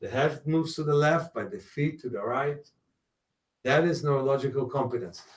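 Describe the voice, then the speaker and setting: This man's voice is fairly high-pitched and somewhat breathy, at a moderate pace. His loudness swings widely. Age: 60s. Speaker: self-healing teacher. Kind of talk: guided exercise class; lecture.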